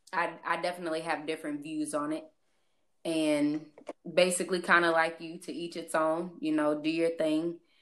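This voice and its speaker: With a Midwestern US accent, a woman speaks at a fairly low pitch and moderate pace in a monotone, flat delivery. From St. Louis area, US Midwest. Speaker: guest. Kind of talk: casual chat.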